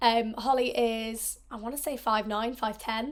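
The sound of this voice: Delivery comes at a fairly slow pace with fairly even intonation. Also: woman, fairly high pitch for a woman.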